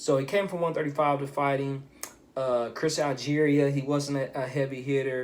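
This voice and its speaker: Keeping a moderate pace, a man with a fairly high pitch speaks with fairly even intonation. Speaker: boxing commentator youtuber. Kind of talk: casual commentary vlog.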